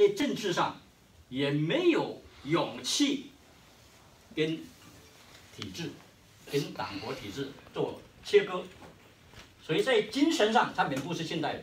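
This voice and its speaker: In a Hainanese accent, a man talks at a very slow pace. Audible room echo and light background noise surround his voice. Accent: Hainanese-accented Mandarin. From Hainan, China. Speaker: history professor. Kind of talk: conference keynote speech. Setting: conference hall with audience. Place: meeting room. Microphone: camera far.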